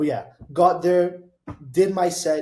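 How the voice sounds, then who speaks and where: A dark, mellow, somewhat breathy voice with a Portuguese accent at a moderate pace. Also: man. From Brazil. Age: 20s. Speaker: DJ and music producer. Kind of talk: casual interview. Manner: animated.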